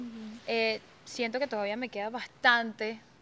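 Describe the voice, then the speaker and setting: A woman's plain, everyday voice at a fairly high pitch and fairly slow pace, in a very clean recording with a silent background. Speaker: DJ. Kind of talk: casual interview. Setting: radio studio.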